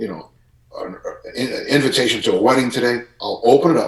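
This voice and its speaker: A man speaks in an American accent. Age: 60s. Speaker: strength and conditioning coach. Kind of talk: podcast interview.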